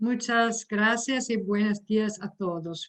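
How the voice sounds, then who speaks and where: In a non-native accent, a woman speaks at a very slow pace with fairly even intonation. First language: not Spanish (speaking Spanish). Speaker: higher education expert. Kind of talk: lecture.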